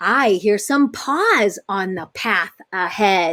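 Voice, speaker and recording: A woman puts on a character voice at a medium pitch. She speaks at a very slow pace. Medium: read story.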